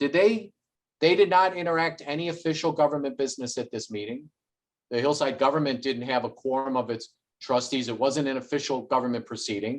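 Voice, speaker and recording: At a medium pitch with ordinary pitch variation, a man talks in an ordinary speaking voice. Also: fairly quick pace. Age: under 60. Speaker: local activist. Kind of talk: interview.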